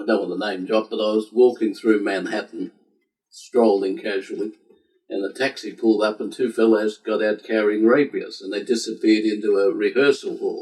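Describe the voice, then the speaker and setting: A man with an Australian accent at a moderate pace. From Australia, Sydney. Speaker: civil war historian and collector. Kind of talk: interview. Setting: home library.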